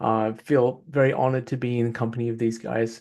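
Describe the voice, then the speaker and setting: In an Australian accent, the speaker talks at a moderate pace against a quiet background. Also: man. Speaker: tech entrepreneur. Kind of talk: panel discussion.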